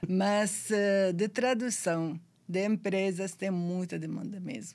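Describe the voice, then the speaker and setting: A woman talks with an Arabic accent. Her pace is very slow. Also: medium pitch for a woman, fairly even intonation. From Syria. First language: Arabic (speaking Portuguese). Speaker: sworn translator and pharmacist. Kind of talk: podcast interview.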